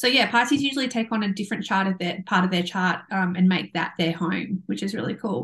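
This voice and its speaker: A woman's voice sits at medium pitch and is somewhat breathy. Her pitch varies in an ordinary way. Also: quiet background. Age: 30s. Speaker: podcast co-host, mother and Reiki practitioner. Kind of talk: casual chat. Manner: animated, laughing often.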